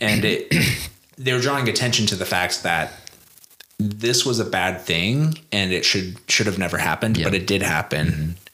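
A man with an American accent, fairly low pitch, lively intonation, very even loudness, moderate pace, and noticeable background noise. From Idaho. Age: 30s. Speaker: podcast host. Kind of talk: casual chat.

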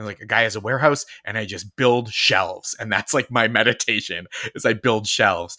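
A man with an American accent and a fairly low pitch talks in a bright, sharp tone, with ordinary pitch variation and big swings in loudness. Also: fairly quick pace. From Massachusetts. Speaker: TV writer and comedian. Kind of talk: casual chat.

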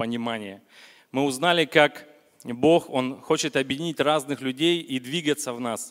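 A man has an unremarkable speaking voice, fairly high in pitch, with ordinary pitch variation at a moderate pace. The recording is very clean with a silent background. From Vologda region, Russia. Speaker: churchgoer giving testimony. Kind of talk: testimony. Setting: church service with congregation.

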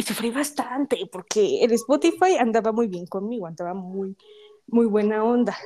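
Animated in tone, a woman speaks at a moderate pace with a fairly high pitch. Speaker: podcast host. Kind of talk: casual chat.

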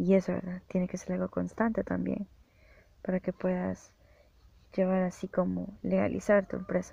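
This woman pauses long and often while speaking at a moderate pace. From El Salvador. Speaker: podcaster and freelance programmer. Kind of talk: solo podcast monologue.

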